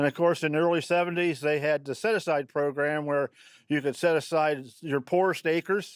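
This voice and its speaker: This man speaks at a moderate pace in a fairly high voice with a Midwestern US accent. The very clean recording has a silent background and a dry, close sound with no echo. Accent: rural Midwestern US. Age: 70s. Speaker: farmer. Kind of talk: interview. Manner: halting, many fillers.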